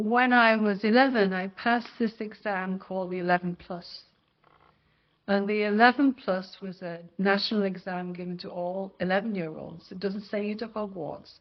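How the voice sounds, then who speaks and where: With a British accent, a woman of medium pitch talks at a moderate pace with fairly even intonation and big swings in loudness. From northwest England, Lancashire (Wigan, Bolton). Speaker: religious sister, former teacher. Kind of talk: oral history interview.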